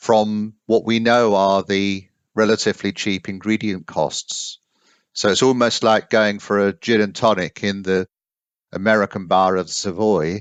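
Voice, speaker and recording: This man, with an English accent, speaks fairly slowly at a fairly low pitch in a monotone, flat intonation. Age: 60s. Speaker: coffee consultant. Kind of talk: interview. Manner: halting.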